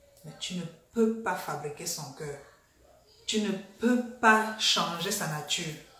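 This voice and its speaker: A woman talks at a very slow pace with ordinary pitch variation. Room echo is audible, along with light background noise. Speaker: vlogger. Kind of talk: casual vlog chat. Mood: annoyed, mocking. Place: home room.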